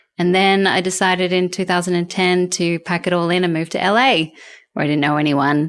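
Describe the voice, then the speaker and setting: In an Australian accent, a woman talks at a moderate pace with fairly even intonation on a very clean recording with a silent background. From Australia (Canberra). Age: 40s. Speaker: film journalist and TV presenter. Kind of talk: interview conversation.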